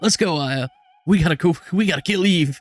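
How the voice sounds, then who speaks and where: Someone uses a put-on character voice at a fairly quick pace, with ordinary pitch variation, in a dry, close sound with no echo. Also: man, high pitch for a man. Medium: game stream. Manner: gruff, blunt.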